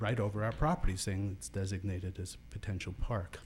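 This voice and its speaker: A man's fairly low, dark and mellow voice, somewhat breathy, at a fairly quick pace with ordinary pitch variation. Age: 60s. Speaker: property owner giving public comment. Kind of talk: public comment at city meeting. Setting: city planning commission meeting.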